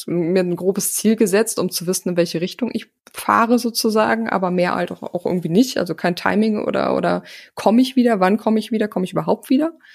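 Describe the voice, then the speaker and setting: A woman talks in a normal speaking voice. Her pitch variation is ordinary. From Germany, North Rhine-Westphalia (Hagen). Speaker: podcast producer and agency owner. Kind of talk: interview conversation.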